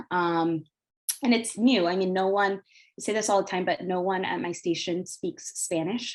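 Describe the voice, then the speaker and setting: A woman speaks at a medium pitch with an American accent and fairly even intonation. She has an unremarkable speaking voice and a moderate pace. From Northern Virginia (Arlington / Falls Church area). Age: 20s. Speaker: TV news reporter. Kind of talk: panel presentation. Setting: video call webinar.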